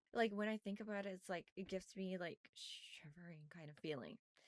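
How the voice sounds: Close and dry with no echo, the slightly mellow voice moves at a moderate pace. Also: woman.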